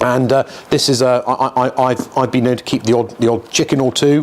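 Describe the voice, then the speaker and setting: Amid noticeable background noise, a man speaks fairly quickly at a medium pitch. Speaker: auctioneer. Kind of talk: casual talk to camera, auction preview walkabout. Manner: conversational, chatty, humorous.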